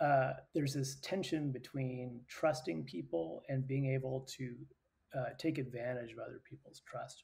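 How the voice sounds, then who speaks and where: Ordinary pitch variation and a moderate pace from a man with a somewhat breathy voice. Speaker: interview guest. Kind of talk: interview answer. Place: home room.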